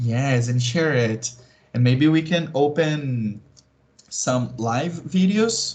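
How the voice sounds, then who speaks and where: Somewhat breathy and very even in loudness, a man with a Brazilian accent speaks at a medium pitch and a very slow pace. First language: Portuguese. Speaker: tarot reader. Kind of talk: casual chat. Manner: halting.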